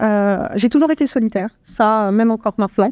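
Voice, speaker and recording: A woman's dark, mellow voice at a fairly quick pace with ordinary pitch variation, dry and close with no echo, on a very clean recording with a silent background. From France, Yvelines (Paris region). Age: 30s. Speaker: actuarial analyst. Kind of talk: podcast interview. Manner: halting, many hesitations.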